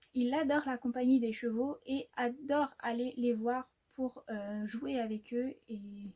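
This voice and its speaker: A woman speaks with a high pitch, a dark, mellow tone and fairly even intonation. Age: 20s. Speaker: horse owner and rider. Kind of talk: casual talk to camera.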